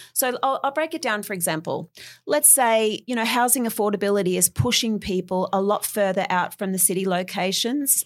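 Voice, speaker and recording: Speaking in an Australian accent, a woman uses a medium pitch and ordinary pitch variation. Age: 40s. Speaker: property renovator. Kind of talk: interview.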